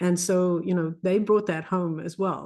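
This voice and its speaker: Speaking with a South African accent, a woman has a dark, mellow tone, fairly low pitch, and fairly even intonation. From South Africa, Afrikaans culture. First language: Afrikaans. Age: 50s. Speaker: physician coach. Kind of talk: casual interview conversation.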